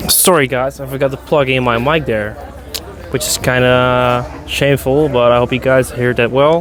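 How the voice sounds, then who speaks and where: Speaking fairly quickly at a medium pitch, a man comes through noticeable background noise. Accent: Dutch. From Netherlands. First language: Dutch. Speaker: beer review vlogger. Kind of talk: casual vlog with bartender chat. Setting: in a beer bar. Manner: animated.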